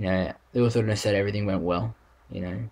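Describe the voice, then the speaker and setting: With an Australian accent and a fairly low pitch, a man talks over noticeable background noise with ordinary pitch variation. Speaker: vlogger. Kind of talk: video diary. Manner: halting, many fillers.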